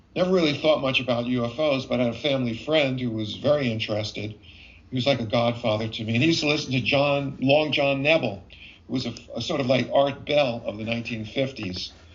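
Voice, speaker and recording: A man with an American accent talks with ordinary pitch variation amid noticeable background noise and audible room echo. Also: medium pitch for a man, fairly quick pace. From US Northeast, New York City. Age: 70s. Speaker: physician and UFO investigator. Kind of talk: interview. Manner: halting with frequent fillers.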